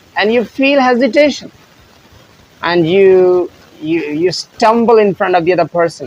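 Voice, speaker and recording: A man speaks at a fairly slow pace in a high voice for a man, with lively intonation. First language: Punjabi. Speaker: English teacher. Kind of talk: tutorial.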